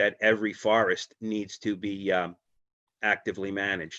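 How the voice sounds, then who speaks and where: A man talks in a fairly low pitch. The sound is dry and close with no echo, against a quiet background. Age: 60s. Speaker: ecologist presenter. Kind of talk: presentation talk. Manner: hesitant with many fillers.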